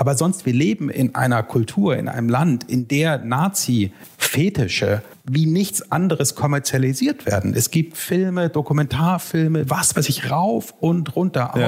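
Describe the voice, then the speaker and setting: Somewhat breathy and very even in loudness, this voice moves at a fairly slow pace with lively intonation and hardly any pauses. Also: man, fairly high pitch for a man. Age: 30s. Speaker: historian and author. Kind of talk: casual chat.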